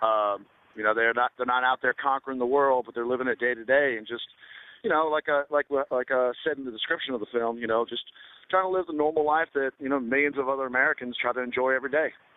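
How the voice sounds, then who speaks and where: A man with a Southern US accent talks at a very fast pace. His pitch sits in the medium range, and his intonation stays fairly even. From US South. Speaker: film director. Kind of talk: interview. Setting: radio show. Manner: halting, many fillers.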